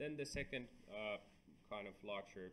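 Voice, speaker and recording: The speaker is a man. Light background noise can be heard. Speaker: university lecturer. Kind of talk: lecture.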